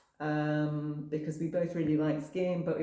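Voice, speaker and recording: With audible room echo around her, a woman with a northwest English accent speaks slowly at a very deep, low pitch, her intonation monotone and flat. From northwest England, coast near Manchester. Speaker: campsite owner. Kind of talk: casual interview.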